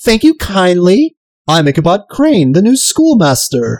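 Someone puts on a character voice at a middle pitch, keeping a moderate pace while the pitch swings very widely. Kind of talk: archaic, polite. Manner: spooky, theatrical.

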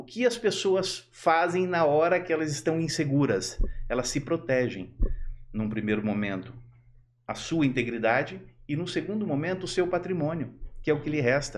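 With lively intonation and a fairly high pitch, a man talks in an ordinary speaking voice. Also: moderate pace. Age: 50s. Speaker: electronic security expert. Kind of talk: casual chat.

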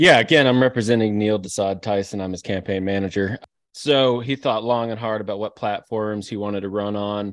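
A man speaks at a fairly quick pace in an ordinary speaking voice, his pitch fairly low and his intonation fairly even. The background is quiet. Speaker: podcast co-host. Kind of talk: comedic debate, casual chat.

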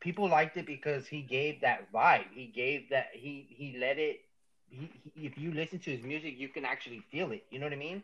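Talking at a fairly quick pace, a man with an American accent and a normal speaking voice uses a fairly high pitch, lively intonation and big swings in loudness. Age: 20s. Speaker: rapper. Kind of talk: casual chat.

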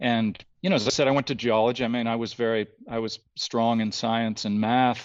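Against a quiet background, a man with a Canadian accent talks at a fairly quick pace in a normal speaking voice, at medium pitch with fairly even intonation. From Ontario, Canada (outside Toronto). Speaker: conceptual artist and photographer. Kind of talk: casual interview chat.

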